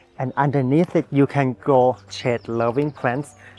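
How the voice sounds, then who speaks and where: The delivery is fairly slow and fairly even in intonation. The sound is dry and close with no echo, though background noise is noticeable. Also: man. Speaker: gardening vlogger. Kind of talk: garden tour vlog. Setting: outdoors in a public garden. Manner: soft-spoken.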